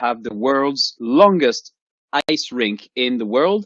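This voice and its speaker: A man with a French accent, fairly high in pitch, with very wide pitch swings. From France. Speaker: professor. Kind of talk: lecture. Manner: halting.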